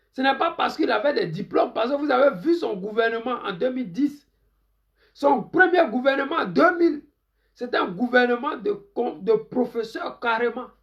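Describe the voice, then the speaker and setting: Music plays in the background. A man speaks at an extremely high pitch with lively intonation. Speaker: political commentator. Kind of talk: live stream political commentary. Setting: Facebook live stream.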